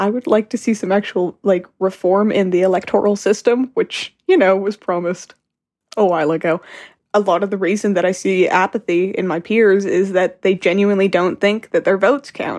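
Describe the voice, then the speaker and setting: A woman with a western Canadian accent talks at a moderate pace in a medium pitch, with fairly even intonation. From Calgary, Alberta. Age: 18. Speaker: recent high school graduate. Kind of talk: interview.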